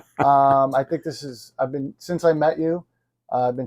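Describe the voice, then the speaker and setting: A man's normal speaking voice at a medium pitch, moderate in pace, with fairly even intonation. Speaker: chiropractor. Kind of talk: podcast interviewer.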